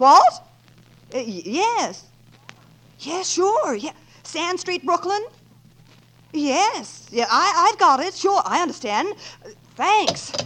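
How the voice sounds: A woman performs a put-on character voice at an extremely high pitch with big pitch swings and a fairly bright tone. She moves at a slow pace, with long, frequent pauses.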